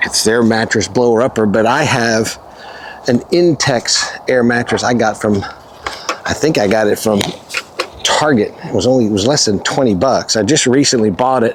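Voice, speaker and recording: Long, frequent pauses at a moderate pace, with ordinary pitch variation and noticeable background noise. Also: man, medium pitch for a man. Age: 60s. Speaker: camping vlogger. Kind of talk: casual vlog narration. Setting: outdoors.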